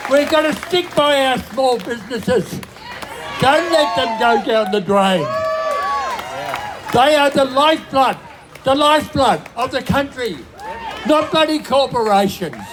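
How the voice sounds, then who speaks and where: In an Australian accent, the speaker goes at a fairly slow pace with long, frequent pauses while crowd noise carries in the background. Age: 90s. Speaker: rally speaker. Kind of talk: protest speech.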